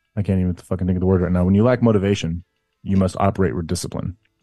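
Over music in the background, a man talks at a very fast pace in a very deep, low pitch. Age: 40s. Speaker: army reserve drill sergeant. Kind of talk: casual chat.

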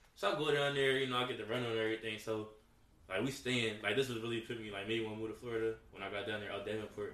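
Noticeable background noise sits under a man's voice. He talks at a very fast pace with fairly even intonation. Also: medium pitch for a man. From US Northeast, Philadelphia. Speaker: college football player. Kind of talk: casual chat.

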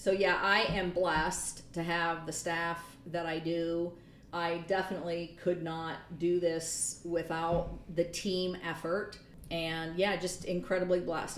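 A woman with an American accent speaks at a fairly slow pace. Her delivery is flat and monotone, with audible room echo. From Michigan. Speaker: college gymnastics head coach. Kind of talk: interview.

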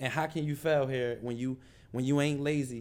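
Using ordinary pitch variation, a man speaks at a fairly quick pace. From Philadelphia. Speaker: entrepreneur. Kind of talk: interview.

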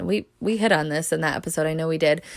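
A woman with a fairly low pitch speaks at a very fast pace in an animated tone, with ordinary pitch variation. The recording is very clean, with a silent background. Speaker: podcast host. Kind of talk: solo faith podcast monologue with prayer. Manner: fast talker; animated, excitable.

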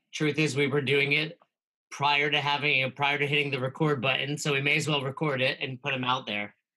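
A fairly high-pitched male voice with a bright, sharp tone, fairly quick and monotone, with flat intonation. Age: 40s. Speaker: CrossFit coach and podcast host. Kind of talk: casual chat.

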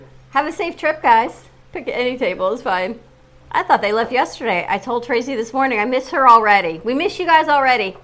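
A woman with a high voice talks at a fairly quick clip, her pitch swinging very widely and her loudness rising and falling sharply, over noticeable background noise. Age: 50s. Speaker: morning show co-host. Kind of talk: casual chat. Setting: studio (cafe set with camera).

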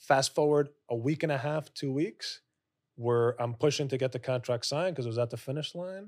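At a fairly quick pace, a man with a normal speaking voice talks at medium pitch with ordinary pitch variation, in a very clean recording with a silent background. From New York (Bronx, Lower Westchester). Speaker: commercial real estate broker. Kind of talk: interview. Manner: frequent fillers and self-corrections.

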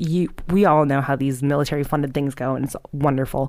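A woman with a very deep, low voice speaks in an animated tone. The recording is very clean, with a silent background. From Baltimore, Maryland, US. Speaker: podcast host. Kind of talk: casual true-crime storytelling. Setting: recording alone at home.

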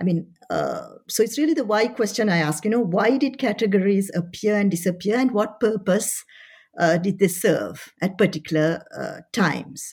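On a very clean recording with a silent background, a woman's somewhat breathy, medium-pitched voice carries lively intonation. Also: moderate pace. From France, Paris. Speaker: history professor. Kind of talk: interview. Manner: hesitant, many fillers.

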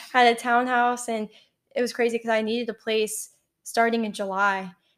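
This woman has a plain, everyday voice with an American accent. Her pitch sits fairly high, her intonation is fairly even, and her pace is moderate. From Texas, College Station. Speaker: podcast co-host. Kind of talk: casual chat.

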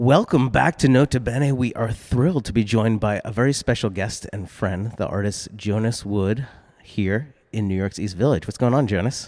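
An unremarkable speaking voice from a man with an American accent, medium pitch, moderate pace, ordinary pitch variation and hardly any pauses. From US Northeast, Boston area. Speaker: art podcast host. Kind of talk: casual interview. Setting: gallery, in-person.

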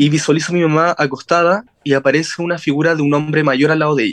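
With a Chilean accent, a man speaks at a very fast pace, the sound dry and close with no echo. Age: 20s. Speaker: spiritual medium. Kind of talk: interview.

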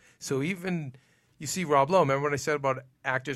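The speaker has a Boston accent and talks at a fairly quick pace. The recording is very clean, with a silent background. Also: man. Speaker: TV recap show host. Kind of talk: casual panel discussion. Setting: studio.

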